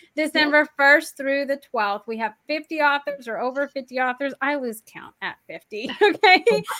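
The voice is raised and projected, with a bright, sharp tone and lively intonation. It moves at a moderate pace with hardly any pauses. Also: woman, high pitch for a woman, big swings in loudness. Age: 30s. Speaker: podcast host. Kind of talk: casual chat. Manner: animated.

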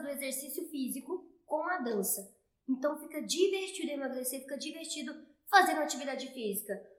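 Her voice is high-pitched and animated, with ordinary pitch variation and a moderate pace. The woman's speech carries audible room echo. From Brazil, interior of Goiás. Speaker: fitness trainer, dance fitness program creator. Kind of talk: casual interview.

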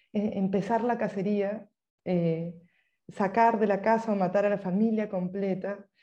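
At a fairly slow pace, a woman with a Peruvian accent speaks in a dark, mellow tone at a medium pitch, her intonation monotone and flat. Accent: keeps her Peruvian. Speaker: writer. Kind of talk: interview.

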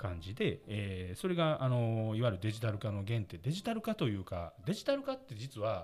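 Somewhat breathy, a man speaks at a moderate pace in a medium pitch, with lively intonation and hardly any pauses. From Osaka, Japan. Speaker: company president and podcast host. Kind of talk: seminar-style presentation.

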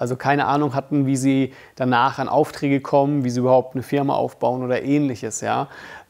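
The recording is very clean with a silent background, and a man speaks at a medium pitch and a fairly quick pace. His intonation is monotone and flat. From Germany, Bamberg (Franconia), Russian-German resettler family. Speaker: filmmaker, YouTuber. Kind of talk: casual vlog monologue. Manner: casual, many fillers.

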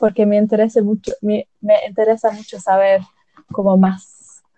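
A woman speaks with an English accent. Her pitch sits fairly high. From England. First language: English (speaking Spanish). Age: 20s. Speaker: recent graduate. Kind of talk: casual chat. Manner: halting.

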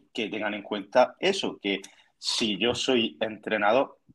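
Here a man with an unremarkable speaking voice speaks at a fairly slow pace and a fairly low pitch. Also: quiet background. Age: 20s. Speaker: dietitian and fitness student. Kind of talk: casual chat.

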